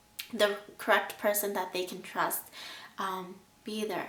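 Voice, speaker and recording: A woman speaks at a very slow pace and a fairly high pitch. Audible room echo and noticeable background noise fill the recording. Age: 20s. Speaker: abuse survivor vlogger. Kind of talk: personal testimony and advice.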